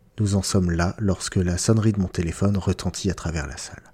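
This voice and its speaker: A man speaks at a moderate pace in a fairly low pitch, somewhat breathy with a dark, mellow tone. The recording is very clean with a silent background. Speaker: book podcast host. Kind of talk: literary audiobook reading of a novel excerpt, in first person. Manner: measured, expressive narration.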